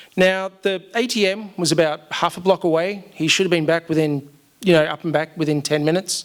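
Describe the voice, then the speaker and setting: Fairly even intonation carries this voice with an Australian accent. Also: man, high pitch for a man, fairly quick pace. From Australia, Melbourne. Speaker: storyteller. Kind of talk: live storytelling. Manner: casual, with many fillers.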